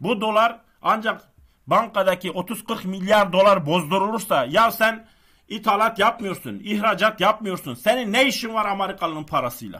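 Against a quiet background, a man with a high pitch projects a raised voice in a bright, sharp, animated tone, keeping a moderate pace and ordinary pitch variation. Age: 40s. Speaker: stock market YouTuber. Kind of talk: casual monologue. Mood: frustrated, ranting. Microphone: webcam.

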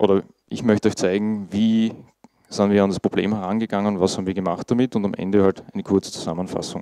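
Speaking at a moderate pace in an Austrian accent, a man with a fairly low pitch and dark, mellow tone keeps fairly even intonation, with a dry sound with no echo and a quiet background. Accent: Austrian German, noticeable dialect. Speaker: IT monitoring specialist, conference speaker. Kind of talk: conference talk. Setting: conference stage with audience. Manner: casual, informal. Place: meeting room.

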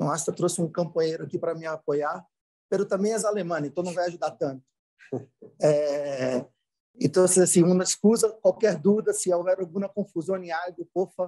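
A man speaks with a Portuguese accent and a high pitch. His tone is dark and mellow, and the background is quiet. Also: ordinary pitch variation, moderate pace. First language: Portuguese (speaking Spanish). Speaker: finance executive; panelist. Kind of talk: conference presentation. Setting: video call. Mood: friendly, apologetic. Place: office. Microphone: video call.

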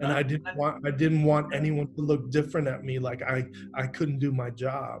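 Noticeable background noise surrounds a man with an American accent. His fairly high voice has a monotone, flat intonation. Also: moderate pace. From Miami, Florida. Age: 50s. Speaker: actor. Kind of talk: interview. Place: home room. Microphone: webcam.

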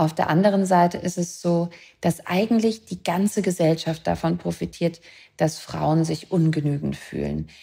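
A woman speaks at a moderate pace in a fairly low, somewhat breathy voice with a dark, mellow tone and fairly even intonation. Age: 30s. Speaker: author and film director. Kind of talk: interview podcast.

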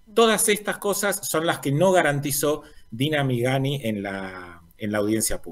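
Fairly high in pitch, a man talks at a moderate pace with very wide pitch swings. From Argentina, Río Negro. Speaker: environmental activist. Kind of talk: news interview. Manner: halting, many fillers. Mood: earnest, denouncing. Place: home room.

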